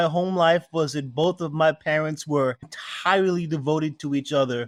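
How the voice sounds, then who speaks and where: A man's fairly high voice at a moderate pace, ordinary pitch variation, hardly any pauses and a dry, close sound with no echo. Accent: New York. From New York City (Queens, Brooklyn). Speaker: spirits maker. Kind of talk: interview.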